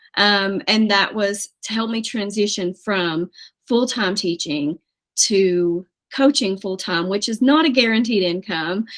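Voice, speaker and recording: In an East Tennessee accent, a woman speaks at a medium pitch and a fairly slow pace. The recording is very clean, with a silent background. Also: ordinary pitch variation. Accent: Southern US (East Tennessee). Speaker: financial coach, former teacher. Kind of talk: interview.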